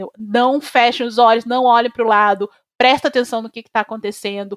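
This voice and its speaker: The woman's pitch is fairly high and her intonation fairly even, in an unremarkable speaking voice. The sound is dry and close, with no echo. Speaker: social media activist. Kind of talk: casual chat.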